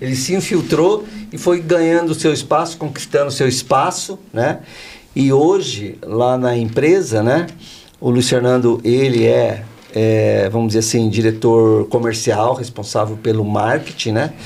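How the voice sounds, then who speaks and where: Lively in intonation and very even in loudness, a man speaks at a medium pitch and a fairly slow pace. Noticeable background noise and audible room echo are present. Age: 60s. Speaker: insurance company founder. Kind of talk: podcast interview. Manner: animated.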